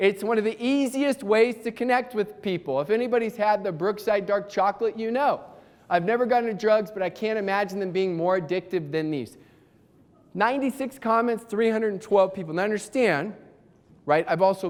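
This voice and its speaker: An energetic man with a high pitch talks at a fairly quick pace with ordinary pitch variation. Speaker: motivational speaker and sales trainer. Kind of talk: conference talk. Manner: fast.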